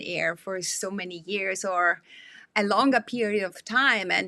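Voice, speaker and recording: A woman with a non-native accent. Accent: foreign. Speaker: podcast host. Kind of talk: interview. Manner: halting.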